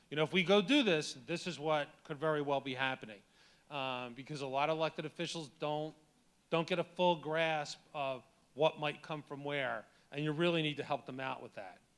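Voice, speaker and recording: With an American accent, a man speaks at a fairly high pitch and with ordinary pitch variation. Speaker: mayor and lawyer. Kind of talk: conference talk. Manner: fast.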